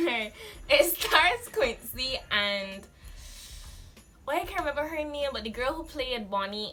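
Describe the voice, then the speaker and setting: With music in the background, a woman speaks using lively intonation. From Barbados. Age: 20s. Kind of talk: casual talk to camera.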